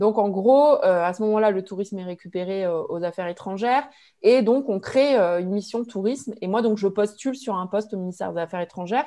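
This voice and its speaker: At a fairly quick pace, a woman speaks in a medium pitch with a dark, mellow tone and ordinary pitch variation against a quiet background. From Limoges, France; France. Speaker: regional tourism board manager; guest. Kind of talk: webinar talk about career path. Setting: video call. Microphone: earbuds.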